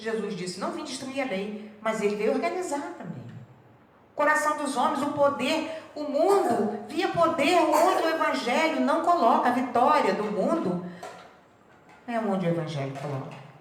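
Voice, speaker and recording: With audible room echo behind her, a woman with a high pitch talks at a fairly slow pace, her voice making very wide pitch swings. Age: 70s. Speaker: spiritist lecturer. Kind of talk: religious talk.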